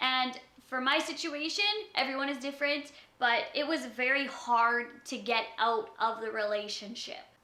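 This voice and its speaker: The voice is raised and projected, with audible room echo around it. It moves at a moderate pace with ordinary pitch variation. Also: woman, high pitch for a woman. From Canada. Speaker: YouTuber. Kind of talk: casual vlog, answering tag questions.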